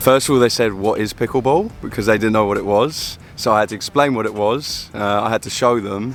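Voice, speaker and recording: With an English accent, the speaker talks at a fairly quick clip with fairly even intonation and hardly any pauses. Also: man, medium pitch for a man. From London, England. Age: 20s. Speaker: pickleball pro. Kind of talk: interview.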